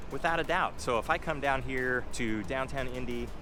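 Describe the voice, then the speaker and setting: Room echo is audible as a man talks at a fairly quick pace. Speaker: real estate agent, vlogger. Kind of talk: walking vlog monologue. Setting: outdoors walking downtown.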